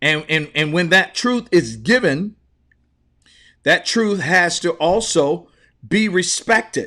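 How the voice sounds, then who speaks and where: A loud man with a high, bright and sharp voice talks at a very slow pace, with lively intonation and long, frequent pauses. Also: very clean recording, silent background. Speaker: motivational speaker. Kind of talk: livestream talk. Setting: live stream. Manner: passionate.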